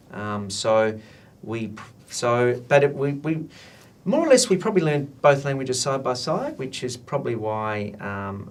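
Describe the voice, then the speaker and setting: A man at a fairly slow pace, with lively intonation and audible room echo. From Australia, Italian migrant family. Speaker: translation professional association president and academic. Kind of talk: interview. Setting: recorded interview for students. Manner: hesitant, many fillers.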